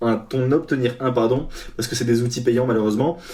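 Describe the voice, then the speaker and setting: This voice has a dark, mellow tone and is somewhat breathy. It moves at a very fast pace. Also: man. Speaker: freelance developer and coach. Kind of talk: tutorial. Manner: casual, hesitant with fillers.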